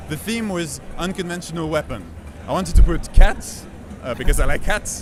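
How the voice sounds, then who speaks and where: Over noticeable background noise, a man with a high pitch speaks at a moderate pace, with ordinary pitch variation and big swings in loudness. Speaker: game developer. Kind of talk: interview. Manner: halting, many filler uhs.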